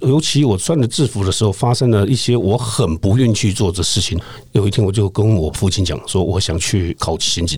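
A man talks at a fairly quick pace with hardly any pauses and lively intonation. His voice is fairly low and somewhat breathy. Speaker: retired police detective. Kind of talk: interview conversation.

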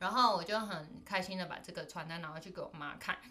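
A woman with a bright, sharp tone at a medium pitch, with ordinary pitch variation. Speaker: podcast co-host. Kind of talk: casual chat.

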